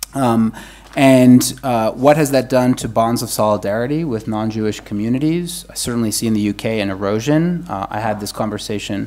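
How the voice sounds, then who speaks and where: This man talks at a moderate pace with a medium pitch. His pitch varies in an ordinary way. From United States. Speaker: academic panelist. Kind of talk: panel discussion. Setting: conference room with audience, also streamed online. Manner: halting, many repetitions and fillers.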